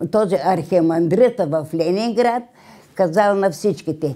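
A woman's dark, mellow tone with lively intonation at a fairly slow pace. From Bulgaria, Strandzha region; Bulgaria. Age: 80s+. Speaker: centenarian interviewee; interviewee. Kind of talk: interview. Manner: halting. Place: home room.

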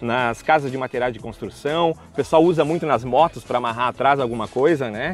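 Faint music plays behind a man who talks at a fairly quick pace, the sound dry with no echo. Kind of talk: casual product tutorial. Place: waterside.

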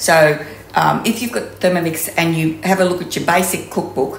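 At a moderate pace, a woman with a fairly low pitch speaks with vocal fry and ordinary pitch variation amid strong room echo.

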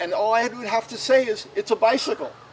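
The speaker keeps a moderate pace with lively intonation. Light background noise can be heard. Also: man. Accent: American. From Washington, D.C. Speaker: velomobile owner; interviewee. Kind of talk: interview. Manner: halting. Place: street.

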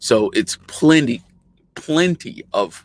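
A man is heard in a dry sound with no echo. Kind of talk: casual tutorial chat. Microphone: webcam.

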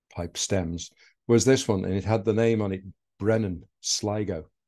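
A man speaks with a very deep, low pitch and a dark, mellow tone. His intonation is fairly even, his pace fairly slow, and the background quiet. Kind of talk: presentation talk with slides. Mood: warm storytelling. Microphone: video call.

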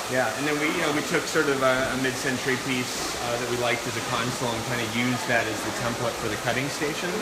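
Very fast pace from a man, with loud background noise behind him. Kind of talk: interview answer. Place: shop. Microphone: phone near.

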